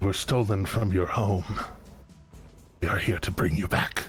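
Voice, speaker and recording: A man uses a put-on character voice that is raspy and fairly low, with fairly even intonation at a moderate pace. Clear music plays in the background. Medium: actual play.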